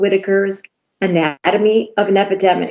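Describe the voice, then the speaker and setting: Her tone dark and mellow, a woman speaks in a medium pitch at a moderate pace. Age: 60s. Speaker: patient testifying at legislative hearing. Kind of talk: testimony. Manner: hesitant, many filler words.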